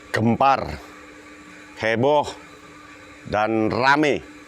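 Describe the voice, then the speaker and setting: Very slow speech from a man at medium pitch with ordinary pitch variation, over noticeable background noise. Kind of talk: spoken political commentary. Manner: explanatory, structured.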